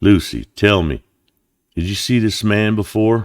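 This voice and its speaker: A husky, put-on character voice from a man, fairly low in pitch, at a moderate pace, on a very clean recording with a silent background. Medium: read story. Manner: cold, controlled.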